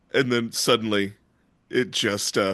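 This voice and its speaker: Over a quiet background, a man speaks very slowly with a bright, sharp tone and fairly even intonation. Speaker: comedian and podcast co-host. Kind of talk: casual chat.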